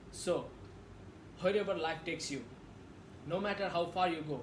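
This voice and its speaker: A man speaks with a Nepali accent. Noticeable background noise and audible room echo are present. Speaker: public speaking practice creator. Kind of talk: practiced motivational speech.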